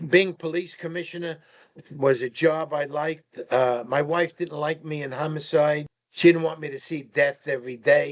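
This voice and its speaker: With a New York accent, a man speaks at a moderate pace and fairly high pitch, his intonation fairly even but his loudness swinging widely. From New York (Brooklyn). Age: 80s+. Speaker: retired police commissioner. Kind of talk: interview storytelling. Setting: podcast recording.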